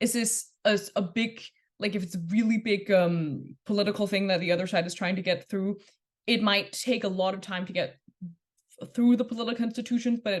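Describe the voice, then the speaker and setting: A woman talks at a fairly quick pace and a medium pitch, somewhat breathy, with fairly even intonation. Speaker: debate workshop instructor. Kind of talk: lecture. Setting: workshop. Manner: fast.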